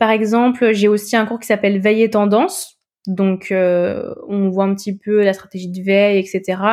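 A woman speaks at a very slow pace. Her voice has a medium pitch. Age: 20s. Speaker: communication student. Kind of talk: interview testimony. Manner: hesitant, many fillers.

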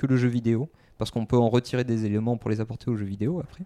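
Against a quiet background, a man talks. His tone is dark and mellow, at a medium pitch. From France, Bordeaux. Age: 20s. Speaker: game designer. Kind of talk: interview. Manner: hesitant, many fillers.

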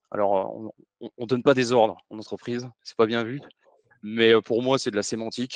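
With a dry, close sound and no echo, a man speaks at a moderate pace and medium pitch, his intonation monotone and flat but his loudness swinging widely. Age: 40s. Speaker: former army officer turned business consultant. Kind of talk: podcast interview.

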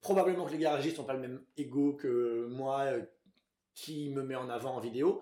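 With a dark, mellow tone, a man speaks fairly slowly at medium pitch and with ordinary pitch variation. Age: 30s. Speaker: author and actor, film recommendation video creator. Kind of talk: casual interview chat. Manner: hesitant, many fillers.

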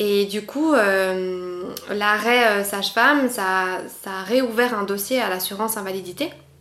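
At a very slow pace, a woman with a medium pitch speaks with ordinary pitch variation, amid audible room echo and noticeable background noise. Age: 20s. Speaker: patient sharing illness experience, former midwife. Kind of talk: interview testimony.

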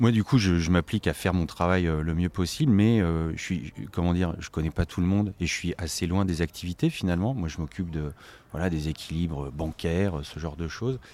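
A man with a very deep, low voice speaks at a moderate pace with ordinary pitch variation on a very clean recording with a silent background. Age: 40s. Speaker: charity volunteer and finance manager. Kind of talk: interview. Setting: on location at a community restaurant. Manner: halting.

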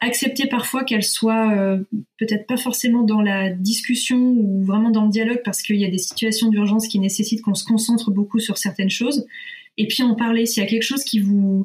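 At a fairly quick pace, a somewhat breathy woman speaks with a fairly high pitch, fairly even intonation and very even loudness. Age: 30s. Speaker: nurse and parenting blogger. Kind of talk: casual interview.

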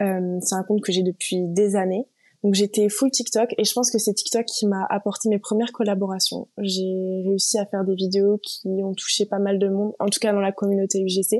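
At a moderate pace, a woman speaks with monotone, flat intonation, the sound dry and close with no echo. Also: medium pitch for a woman, hardly any pauses. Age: 20s. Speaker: UGC content creator. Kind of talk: casual interview.

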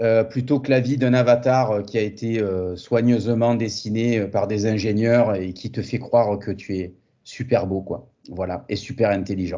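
A man with a plain, everyday voice at medium pitch, fairly slow yet with hardly any pauses, with fairly even intonation. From southern France, Montpellier. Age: 40s. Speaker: fitness entrepreneur and former karate champion. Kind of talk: casual interview.

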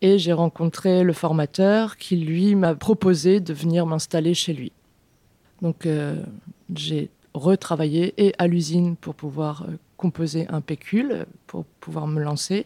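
In a very clean recording with a silent background and a dry, close sound with no echo, a woman speaks very slowly in a dark, mellow tone at a fairly low pitch for a woman. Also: fairly even intonation. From Beauce, France. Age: 30s. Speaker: organic vegetable farmer. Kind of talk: interview. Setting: farmhouse kitchen.

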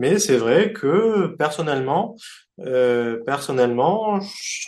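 Lively intonation marks a man's very slow delivery. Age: 40s. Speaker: sports event promoter. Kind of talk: interview. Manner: halting, frequent repetitions.

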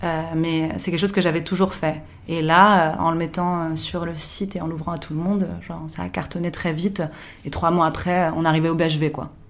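A woman's fairly low voice, monotone and flat, at a moderate pace with audible room echo. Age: 30s. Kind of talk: interview.

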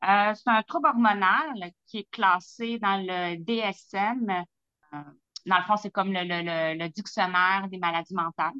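A woman talks at a very slow pace in a Quebec accent. Her loudness swings widely. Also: medium pitch for a woman, ordinary pitch variation. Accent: Québécois French. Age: 40s. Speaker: lab technician sharing health testimony. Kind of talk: testimony.

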